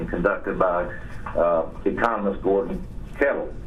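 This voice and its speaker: A man with an American accent speaks at a moderate pace. Noticeable background noise and audible room echo are present. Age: 60s. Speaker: businessman. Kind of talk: formal statement. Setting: phone call. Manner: formal.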